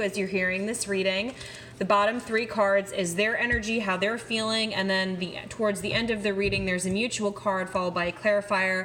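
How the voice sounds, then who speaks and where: Against noticeable background noise, a woman of medium pitch speaks fairly quickly in a monotone, flat delivery. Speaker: tarot reader. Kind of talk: tarot reading. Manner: fast.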